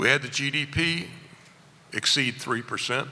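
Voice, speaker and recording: At a moderate pace, a man talks in a Southern US accent. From US South, rural Virginia. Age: 70s. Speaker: furniture industry analyst. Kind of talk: conference keynote speech.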